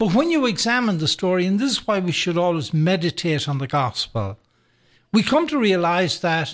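Here a man speaks with an Irish accent at a moderate pace. His pitch is high, with very wide swings. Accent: Irish brogue. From Ireland, County Sligo. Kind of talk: radio interview. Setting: radio studio.

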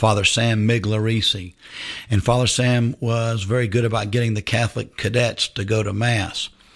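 Somewhat breathy, the voice moves at a moderate pace with monotone, flat intonation. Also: man, medium pitch for a man. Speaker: high school football coach. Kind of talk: radio interview.

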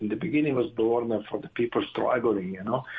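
A man speaks with an Italian accent and lively intonation. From northern Italy. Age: 60s. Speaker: director of an addiction recovery community. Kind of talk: testimony.

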